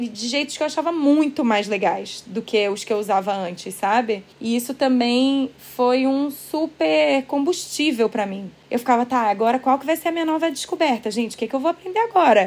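A woman talks at a moderate pace with hardly any pauses, using a high pitch and lively intonation. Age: 30s. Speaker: author and former blogger. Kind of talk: casual interview chat.

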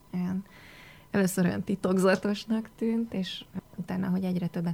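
A woman's plain, everyday voice, medium pitch, moderate pace. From Hungary. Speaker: foreign affairs journalist. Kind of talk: radio interview. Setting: radio studio.

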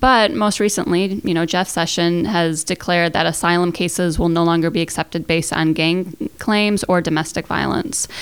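Delivered in a normal speaking voice at a moderate pace, the speech has hardly any pauses, very even loudness and ordinary pitch variation. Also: woman, fairly low pitch for a woman. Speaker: professor researcher. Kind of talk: interview explanation.

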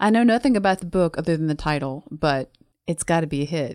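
In a Southern US accent, the speaker uses lively intonation, captured in a very clean recording with a silent background and a dry, close sound with no echo. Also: woman. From US South. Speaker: hospital pharmacist, book club member. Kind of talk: casual chat.

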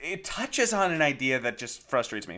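A man with a fairly high pitch talks very fast with very wide pitch swings and vocal fry. His tone is bright and sharp on a very clean recording with a silent background. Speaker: solo podcaster. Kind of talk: casual monologue. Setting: at home.

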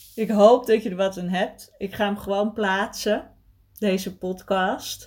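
A woman speaks at medium pitch and a very slow pace, her intonation fairly even. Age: 40s. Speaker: podcast host, eating disorder recovery coach. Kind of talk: casual solo monologue. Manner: hesitant, many filler sounds.

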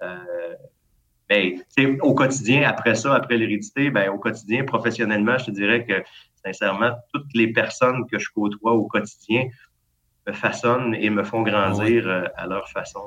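Long, frequent pauses break up a man's medium-pitched speech, which moves at a moderate pace with fairly even intonation and a bright, sharp tone. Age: 40s. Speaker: school administrator. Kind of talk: casual interview.

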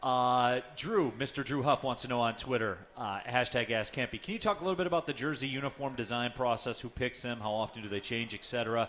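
In an ordinary speaking voice, a man talks at a fairly quick pace with hardly any pauses. His pitch is medium and varies in an ordinary way. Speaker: radio play-by-play announcer and host. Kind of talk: live radio show hosting. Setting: live at a pub with audience.

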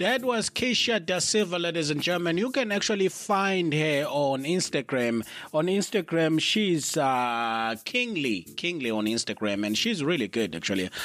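In a very clean recording with a silent background, a man with a South African accent speaks at a moderate pace with hardly any pauses, his fairly high voice making very wide pitch swings. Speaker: podcast host. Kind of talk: casual interview. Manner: animated.

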